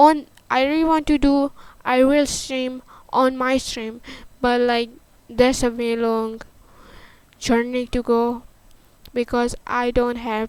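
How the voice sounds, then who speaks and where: Very slow, monotone speech with a non-native accent, flat intonation and long, frequent pauses. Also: woman. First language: not English. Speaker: livestreamer. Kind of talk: casual chat. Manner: halting.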